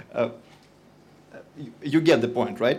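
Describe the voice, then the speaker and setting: In a room with audible echo, a man with a fairly high pitch talks at a moderate pace. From Russia. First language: Russian. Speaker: industry company representative. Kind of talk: conference talk. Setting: stage with audience. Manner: hesitant, many fillers.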